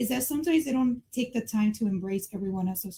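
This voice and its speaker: A woman with a slight Mexican accent speaks in a somewhat breathy, dark and mellow tone at a fairly high pitch. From Mexico, raised in the US. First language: Spanish. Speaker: community member discussing racial harmony. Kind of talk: podcast panel discussion.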